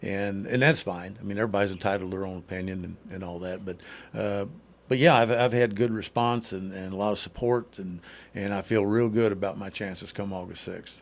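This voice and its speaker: A normal speaking voice with an American accent carries fairly even intonation but big swings in loudness. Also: man, fairly low pitch for a man, fairly quick pace. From southern Indiana. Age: 60s. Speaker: congressional candidate. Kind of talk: radio interview. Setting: radio studio. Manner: casual, many fillers and repetitions.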